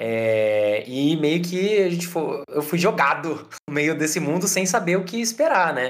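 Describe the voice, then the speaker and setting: Speaking at a fairly slow pace with hardly any pauses, a man with a high voice uses lively intonation. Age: 20s. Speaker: startup product head. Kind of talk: casual interview chat.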